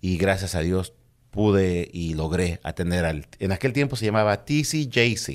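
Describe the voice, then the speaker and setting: A man with a very deep, low voice talks at a fairly slow pace. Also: quiet background. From Mexico City. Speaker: police officer; guest. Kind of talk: casual interview. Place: studio. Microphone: studio mic.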